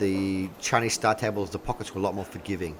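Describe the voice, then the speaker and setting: An animated man with an Australian accent at a fairly quick pace, against noticeable background noise. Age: 40s. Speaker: pool commentator. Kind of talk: live commentary. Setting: live stream.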